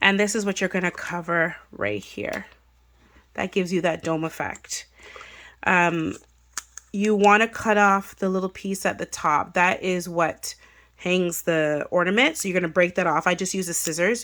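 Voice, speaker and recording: Speaking at a moderate pace with fairly even intonation, a woman has a normal speaking voice at a medium pitch, captured on a very clean recording with a silent background. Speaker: craft YouTuber. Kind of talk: tutorial. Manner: casual, lots of fillers.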